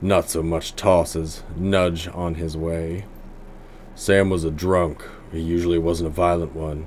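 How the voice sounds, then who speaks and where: Putting on a character voice, a man speaks fairly slowly at a very deep, low pitch with monotone, flat intonation over clear background noise. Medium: game stream. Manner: terse, dry.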